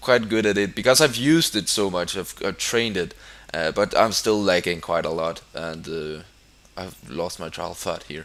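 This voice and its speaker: A bright, sharp tone carries this voice with a Danish accent at a moderate pace. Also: man. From Denmark. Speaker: gaming YouTuber. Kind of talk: gameplay commentary. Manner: halting.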